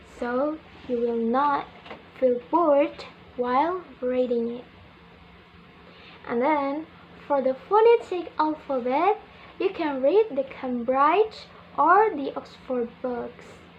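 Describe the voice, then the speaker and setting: Through noticeable background noise, a high-pitched woman speaks very slowly with lively intonation. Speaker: university student. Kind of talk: class presentation.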